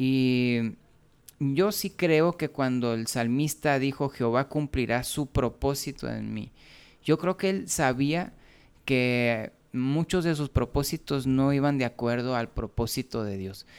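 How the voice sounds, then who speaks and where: A man with a Mexican accent speaks at a very slow pace with ordinary pitch variation, in a very clean recording with a silent background. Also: medium pitch for a man. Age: 40s. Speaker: musician and preacher. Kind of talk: casual chat. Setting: home studio.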